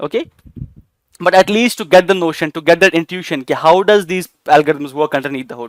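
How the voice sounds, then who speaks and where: In a dry, close recording with no echo, a man with an Indian accent talks at a very fast pace. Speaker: AI teacher. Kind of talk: lecture. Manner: hesitant, many fillers.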